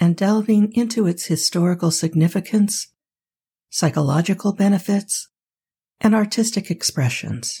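A woman speaks in a gentle, soothing tone. Her voice is somewhat breathy. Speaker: sleep podcast host. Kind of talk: sleep-inducing scripted narration. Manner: soothing, calm, slow; gentle, soft-spoken.

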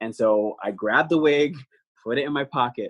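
Talking at a fairly quick pace, a man with a New Jersey accent uses a fairly high pitch. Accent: American (New Jersey). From New Jersey, US. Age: young. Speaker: Broadway actor. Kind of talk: interview, casual chat.

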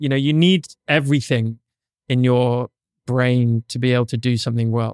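An unremarkable speaking voice moves at a fairly quick pace with fairly even intonation. The sound is dry and close, with no echo. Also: man, very clean recording, silent background. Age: 40s. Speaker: podcast host and photographer. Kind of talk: casual interview. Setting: studio.

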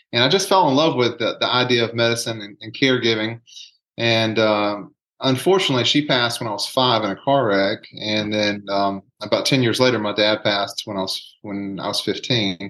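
A man with a Southern US accent and a bright, sharp tone at a fairly quick pace. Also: medium pitch for a man, ordinary pitch variation. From US South, rural south Alabama. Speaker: nurse anesthetist and hypnotherapist. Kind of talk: casual interview conversation.

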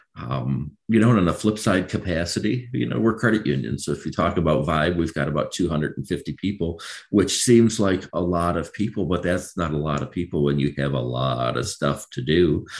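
With an American accent and vocal fry, the speaker talks at a moderate pace with lively intonation. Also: man, very deep, low pitch for a man. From Michigan, Macomb County. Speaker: credit union CEO. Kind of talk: interview.

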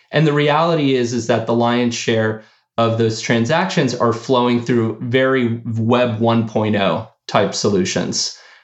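At a fairly slow pace, a man with a plain, everyday voice speaks in a General American accent, his medium pitch moving with ordinary variation and his loudness very even. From US, of Argentine parents. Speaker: startup founder and CEO. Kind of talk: interview.

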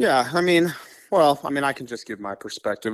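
A man with an American accent and an unremarkable speaking voice talks at a fairly quick pace with ordinary pitch variation, on a very clean recording with a silent background. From US Midwest, Kansas City. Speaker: frog breeder. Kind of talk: casual interview.

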